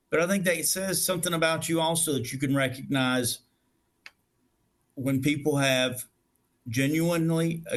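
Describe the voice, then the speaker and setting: A man with a Southern US accent, fairly high pitch, ordinary pitch variation and a moderate pace. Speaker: restaurant facilities director. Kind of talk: interview conversation.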